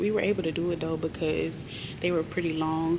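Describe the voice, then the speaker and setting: A woman with a fairly low voice speaks in a monotone, flat way, amid audible room echo and noticeable background noise. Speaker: flight attendant vlogger. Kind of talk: casual vlog talk. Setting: crew room.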